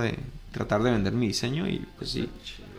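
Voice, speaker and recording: Heard with audible room echo, a man speaks at a fairly slow pace with ordinary pitch variation. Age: 30s. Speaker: musician and tattoo artist. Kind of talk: casual chat.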